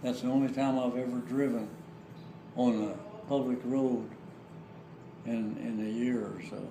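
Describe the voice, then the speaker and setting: A man with an American accent speaks at a fairly slow pace in a medium pitch and a flat monotone, leaving long, frequent pauses, with audible room echo and noticeable background noise. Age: 80s+. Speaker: war veteran. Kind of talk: casual chat; storytelling. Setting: family home. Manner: halting.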